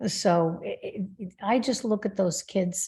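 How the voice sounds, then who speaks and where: A woman's medium-pitched, somewhat breathy voice with a dark, mellow tone. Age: 70s. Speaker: spiritual healer and author. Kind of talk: interview.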